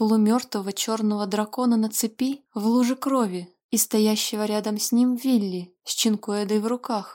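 Over a quiet background, a speaker reads aloud in a natural voice, keeping the intonation fairly even.

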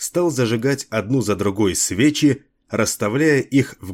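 In a quiet background, a speaker is reading aloud in a natural voice.

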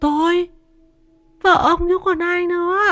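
This is a put-on character voice at an extremely high pitch. Its intonation is monotone and flat. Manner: strange, unfamiliar-sounding voice.

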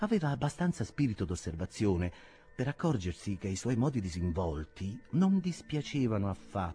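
The speaker uses an unforced reading voice.

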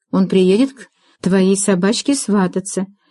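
Fairly even intonation in a natural reading voice, over a quiet backdrop

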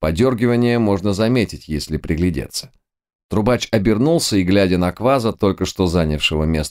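Reading aloud in a natural voice, with lively intonation. The background is quiet.

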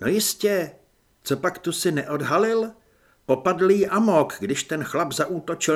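An unforced reading voice is heard throughout.

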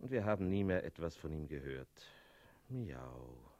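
In a put-on character voice, a man speaks at a fairly slow pace with an extremely low pitch, big pitch swings and a slightly mellow tone.

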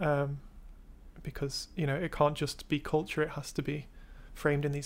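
An English accent at a moderate pace, in a very clean recording with a silent background. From England. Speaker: artist and art student. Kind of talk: casual chat.

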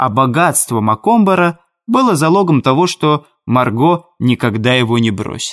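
A natural reading voice with lively intonation, set against a quiet background

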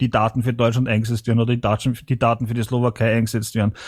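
A man with an Austrian accent speaks in a monotone, flat intonation. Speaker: party member reporting from abroad. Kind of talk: online meeting discussion. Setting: online voice chat.

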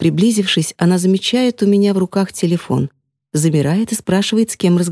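With a quiet background, the plain reading aloud shows ordinary pitch variation.

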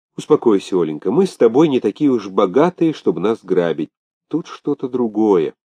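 A quiet background behind plain reading aloud

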